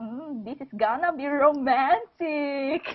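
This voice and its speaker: Very slowly, a woman speaks. Her pitch is high. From Philippines. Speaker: podcast guest, fan forum member. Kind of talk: casual chat. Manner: halting.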